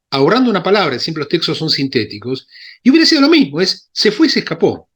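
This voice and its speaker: A man's very fast, high-pitched voice with very wide pitch swings, on a very clean recording with a silent background. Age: 60s. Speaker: Bible scholar and synagogue Torah reader. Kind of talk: lecture with Q&A discussion. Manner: halting, with many fillers and self-corrections.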